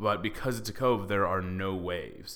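His fairly low-pitched voice has a bright, sharp tone, and this man's pitch varies in an ordinary way. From Texas (Dallas). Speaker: podcast host, actor. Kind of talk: casual chat.

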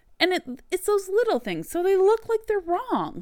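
A woman speaks with a Canadian accent. The recording is very clean, with a silent background. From Canada. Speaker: podcast host and author. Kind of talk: solo podcast monologue. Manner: casual, profane.

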